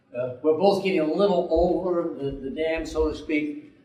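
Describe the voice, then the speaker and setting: This man has a fairly high pitch and keeps a moderate pace. Both background noise and room echo are noticeable. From Rhode Island. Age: 60s. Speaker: war veteran and local river advocate. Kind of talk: conference presentation. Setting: conference room with audience. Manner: halting, many fillers.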